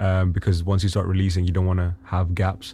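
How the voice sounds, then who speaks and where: This man talks very fast in a very deep, low pitch, his tone dark and mellow and somewhat breathy. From Pakistan. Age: 20s. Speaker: singer-songwriter. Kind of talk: interview. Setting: studio. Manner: excitable.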